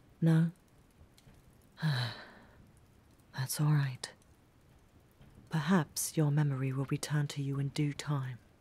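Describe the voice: In a put-on character voice with a dark, mellow tone and a slightly husky edge, the speaker goes at a slow pace with fairly even intonation and long, frequent pauses. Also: woman, low pitch for a woman.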